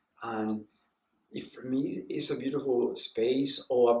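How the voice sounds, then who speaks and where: Speaking fairly slowly, a man talks with a Spanish accent. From Mexico. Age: 60s. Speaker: puppeteer and professor. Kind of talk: interview. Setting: TV news interview.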